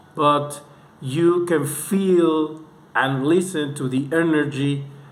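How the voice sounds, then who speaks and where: A man with a non-native accent and fairly even intonation speaks amid audible room echo and noticeable background noise. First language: not English. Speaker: music reviewer. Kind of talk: video review monologue. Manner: halting, with repetitions.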